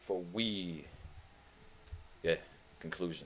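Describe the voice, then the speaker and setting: The speaker has a non-native accent. The tone is animated. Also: man. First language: not English. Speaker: gaming streamer. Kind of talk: live stream commentary. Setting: live stream.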